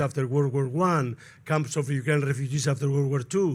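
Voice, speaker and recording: This man talks at a fairly high pitch with a Spanish accent. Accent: clear Spanish accent in English. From Spain. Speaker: sociologist, panel speaker. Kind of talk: panel talk. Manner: digressive, halting.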